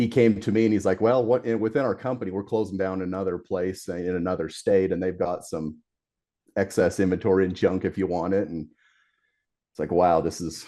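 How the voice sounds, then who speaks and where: A man speaks at a very deep, low pitch in a dark, mellow tone with fairly even intonation. His pace is fairly quick, and the background is quiet. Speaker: garage door company owner. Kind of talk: casual interview chat. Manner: hesitant, many fillers.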